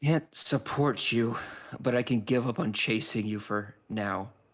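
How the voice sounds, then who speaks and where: Doing a put-on character voice, a man sounds raspy and tired, speaking at a moderate pace and medium pitch. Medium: actual play. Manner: resigned, tired.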